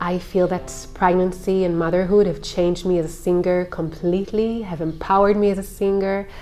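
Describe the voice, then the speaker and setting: A woman talks at a fairly quick pace with hardly any pauses, in a monotone, flat intonation. Room echo is audible, and background noise is noticeable. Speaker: opera singer. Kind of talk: personal vlog monologue.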